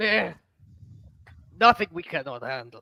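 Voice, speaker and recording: In a put-on character voice, the lines come out at a moderate pace. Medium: actual play. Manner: blunt, terse.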